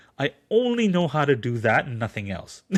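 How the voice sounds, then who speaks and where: Moderate-paced talk from a man over a quiet background. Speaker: translator and audiobook narrator. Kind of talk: podcast interview. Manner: halting, many repetitions.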